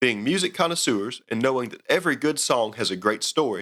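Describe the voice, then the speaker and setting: Talking at a very fast pace, a man with a strong Southern accent and medium pitch uses lively intonation on a very clean recording with a silent background. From US South. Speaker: outdoors podcast host. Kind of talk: scripted narration.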